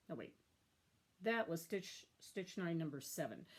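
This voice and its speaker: A woman's fairly low-pitched voice. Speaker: cross-stitch vlogger. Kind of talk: casual hobby vlog show-and-tell. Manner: loud. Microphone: tablet built-in mic, own mic broken.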